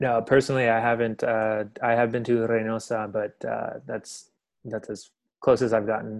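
An American accent marks this man's speech, delivered at a moderate pace and medium pitch. His intonation is flat and monotone, and the background is quiet. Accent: Texan American English, Mexican American. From Texas, Dallas. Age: 20s. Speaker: podcast host, film series host. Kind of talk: casual film discussion.

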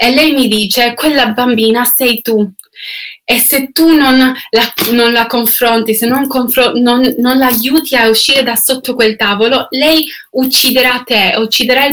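Against noticeable background noise, a woman with a high voice speaks fairly slowly, with very even loudness and fairly even intonation. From Canada. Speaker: singer. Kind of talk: testimony. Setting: online video livestream. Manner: halting.

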